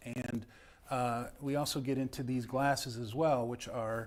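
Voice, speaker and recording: Speech in a Chicago accent at a fairly slow pace. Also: man, very clean recording, silent background. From Chicago, US Midwest. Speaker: live show host, prop collector. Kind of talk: casual chat. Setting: studio.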